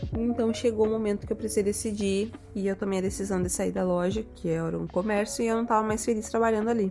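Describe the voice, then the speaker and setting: A woman speaks very fast at a medium pitch, with hardly any pauses. Her intonation is monotone and flat, and background noise is noticeable. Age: 20s. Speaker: makeup artist. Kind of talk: personal monologue podcast.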